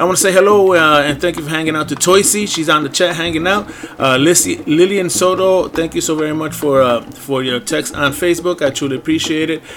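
Animated, energetic tone from a man at a fairly quick pace, with hardly any pauses, ordinary pitch variation and noticeable background noise. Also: fairly high pitch for a man. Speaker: radio DJ. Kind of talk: radio show hosting, upbeat DJ patter with event announcements. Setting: internet radio studio. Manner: animated, energetic, enthusiastic; casual, warm, catchphrase-heavy, bilingual English and Spanish.

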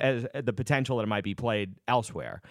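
In a very clean recording with a silent background, a man talks at a fairly quick pace in an ordinary speaking voice. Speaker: podcast host. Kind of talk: interview.

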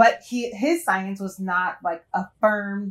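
In an American accent, a woman with an unremarkable speaking voice talks at a medium pitch with ordinary pitch variation. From Detroit and Cincinnati, US Midwest. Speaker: science teacher. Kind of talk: casual chat.

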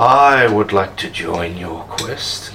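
This is a put-on character voice that sounds croaky. Clear background noise runs underneath it. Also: man, medium pitch for a man.

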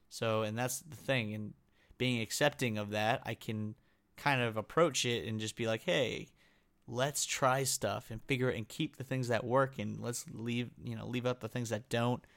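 An ordinary speaking voice from a man, medium in pitch, with fairly even intonation, a moderate pace and a very clean recording against a silent background. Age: 20s. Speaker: podcast host, chronic illness patient. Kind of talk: solo podcast monologue. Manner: casual, many filler words.

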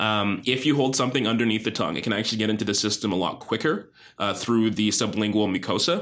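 A man's fairly low voice moves at a very fast pace with ordinary pitch variation. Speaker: physician. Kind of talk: interview. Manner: assertive, explanatory.

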